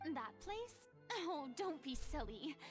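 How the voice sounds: Over faint music in the background, a woman does a put-on character voice, high-pitched with big pitch swings, at a slow pace.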